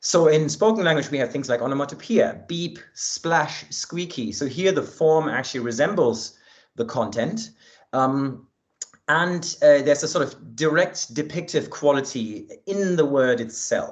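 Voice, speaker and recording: A man at a fairly slow pace and fairly high pitch, with ordinary pitch variation. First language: German. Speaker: linguistics researcher. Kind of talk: academic talk. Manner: hesitant with fillers.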